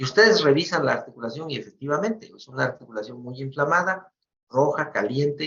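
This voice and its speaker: A man with a plain, everyday voice and a fairly high pitch talks at a fairly quick pace with big swings in loudness. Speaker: medical professor. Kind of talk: lecture.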